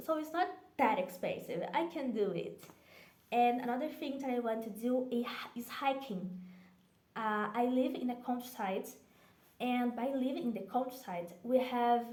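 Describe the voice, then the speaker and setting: A woman with a Brazilian accent speaks at a fairly slow pace and a high pitch, with ordinary pitch variation. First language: Portuguese. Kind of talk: casual talk to camera.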